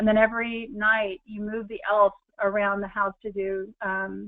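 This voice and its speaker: A woman speaks with an American accent. Her voice is medium in pitch. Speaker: lifestyle and money-saving speaker. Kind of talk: webinar presentation. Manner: many fillers; animated.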